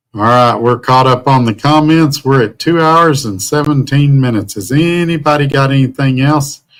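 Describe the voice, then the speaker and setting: A man with a Southern US accent, medium pitch, ordinary pitch variation and a moderate pace. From US South. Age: 50s. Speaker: truck driver and livestreamer. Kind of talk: casual live stream chat. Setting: hotel room.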